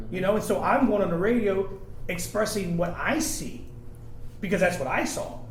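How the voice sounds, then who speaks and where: Amid noticeable background noise and audible room echo, a man with a high pitch talks at a moderate pace with lively intonation. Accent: American. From Virginia Beach, Virginia. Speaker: radio host. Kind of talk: round-table discussion.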